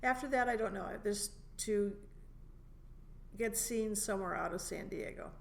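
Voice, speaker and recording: Long, frequent pauses break up this woman's speech, which moves at a moderate pace with fairly even intonation. Her pitch is fairly high, and audible room echo surrounds her voice. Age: 70s. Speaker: stand-up comedian. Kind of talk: casual chat. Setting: comedy club room.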